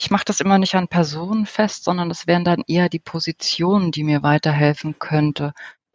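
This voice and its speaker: Recorded in a dry, close sound with no echo, a woman talks at a fairly quick pace, fairly low in pitch with ordinary pitch variation, in a plain, everyday voice. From Germany. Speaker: interior architect, professional association president. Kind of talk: interview.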